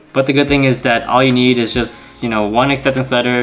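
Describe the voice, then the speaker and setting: With faint music in the background, a man speaks very fast in a monotone, flat intonation. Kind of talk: casual vlog chat. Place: home room.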